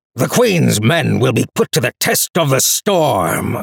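A man growls at a fairly slow pace, his pitch fairly high. The sound is dry and close, with no echo. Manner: loud, commanding, bellowing.

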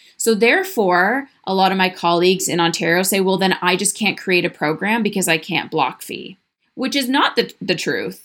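In a normal speaking voice, a woman speaks at medium pitch and a moderate pace, her pitch variation ordinary. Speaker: podcast host, practitioner business coach. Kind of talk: solo monologue podcast episode. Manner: conversational, candid.

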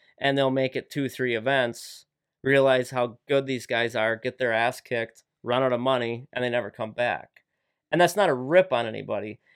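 Delivered at a moderate pace with fairly even intonation, this is a normal speaking voice with an American accent. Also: man, medium pitch for a man. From Wisconsin, Lake Winnebago area. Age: 30s. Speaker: professional walleye angler. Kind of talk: casual interview. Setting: studio.

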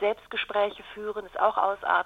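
Moderate in pace, the speech comes in a plain, everyday voice. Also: woman. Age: 40s. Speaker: communication trainer. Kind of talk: interview. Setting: phone call.

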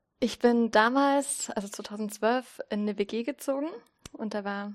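Her voice is a plain, everyday voice, a woman's at fairly high pitch with ordinary pitch variation. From Saxony, Zittau (eastern Germany). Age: 30s. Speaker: church community educator. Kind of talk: interview. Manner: casual, with frequent fillers.

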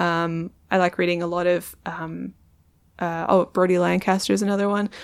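This speaker has an American accent. The intonation stays monotone and flat. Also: woman. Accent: Australian, perceived as slightly American. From Perth, Australia. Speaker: comedian and poet. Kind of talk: casual interview chat.

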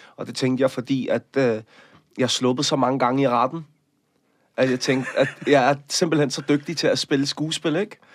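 At a fairly slow pace, a man with a fairly high pitch speaks with fairly even intonation on a very clean recording with a silent background. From Denmark, Copenhagen area. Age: 30s. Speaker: actor and activist. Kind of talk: interview.

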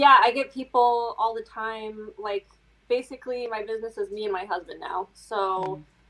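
A woman with an American accent speaks at a moderate pace, her fairly high voice bright and sharp. Her pitch varies in an ordinary way. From US Midwest, small rural town. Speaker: fashion designer. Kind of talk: casual chat.

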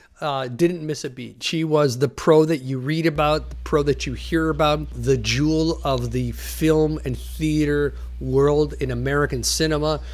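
With hardly any pauses, the speech goes at a fairly slow pace against noticeable background noise. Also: man. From Toronto, Canada (Greek immigrant family). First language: Greek. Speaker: former actor's stand-in. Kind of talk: interview storytelling.

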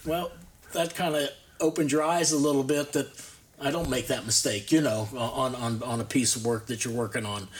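Speaking with an American accent at a moderate pace, a man has a plain, everyday voice, fairly high pitch and ordinary pitch variation. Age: 60s. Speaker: woodcarver, retired. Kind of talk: interview. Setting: studio.

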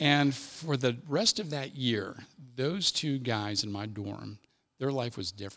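A man with an American accent has an unremarkable speaking voice at medium pitch, using lively intonation at a fairly slow pace. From US Midwest, Cincinnati, Ohio. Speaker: army chaplain. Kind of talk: casual interview, personal testimony.

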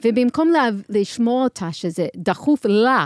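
Here a woman speaks in an American accent. The recording is very clean with a silent background, and the sound is dry and close with no echo. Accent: American English accent in Hebrew. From US, New York. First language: English (speaking Hebrew). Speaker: marketing executive and nonprofit founder. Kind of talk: interview. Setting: studio. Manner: halting.

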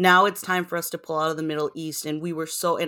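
A woman's fairly low, bright and sharp voice, monotone and flat, at a fairly quick pace. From Cambodian heritage. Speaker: political commentator guest. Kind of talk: casual political discussion.

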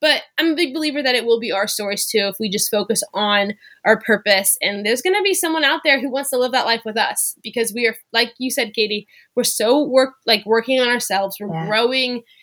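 With an American accent, a woman speaks in a bright, sharp tone at a high pitch with lively intonation. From US South, Louisiana near New Orleans. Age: 20s. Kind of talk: casual interview chat.

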